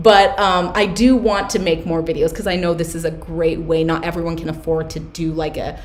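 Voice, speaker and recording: A woman's fairly low voice with fairly even intonation, noticeable background noise and audible room echo. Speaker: Etsy seller and business coach. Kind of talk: live stream Q&A workshop. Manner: fast.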